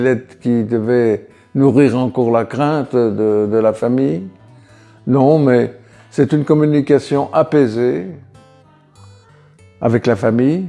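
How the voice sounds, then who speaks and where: Over music in the background, a man speaks very slowly with long, frequent pauses, keeping a very even loudness and a medium pitch with ordinary variation. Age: 80s+. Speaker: Algerian War veteran. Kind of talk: interview answer. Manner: hesitant, reflective.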